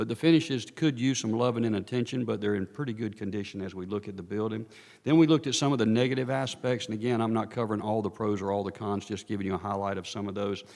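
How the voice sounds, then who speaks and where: Speaking at a very fast pace with hardly any pauses, a man with a North Carolina accent and a fairly low pitch is heard in a very clean recording with a silent background. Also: ordinary pitch variation. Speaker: architect consultant presenting a study. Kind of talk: presentation to town council. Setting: town council meeting.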